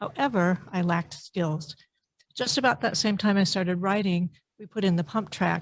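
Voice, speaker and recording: In an ordinary speaking voice, a woman talks at a moderate pace and a medium pitch with ordinary pitch variation. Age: 60s. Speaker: public commenter at park board meeting. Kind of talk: public comment testimony.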